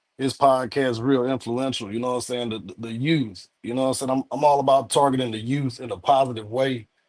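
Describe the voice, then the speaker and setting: A man with a medium pitch speaks very fast, with hardly any pauses. His intonation is fairly even, but his loudness swings widely. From East Texas. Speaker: panel guest, boat captain. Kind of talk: panel discussion on livestream. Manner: halting, many fillers.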